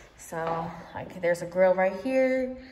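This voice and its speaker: At a fairly slow pace and with ordinary pitch variation, a woman speaks amid light background noise and audible room echo. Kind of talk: casual vlog chat. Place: home room. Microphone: phone near.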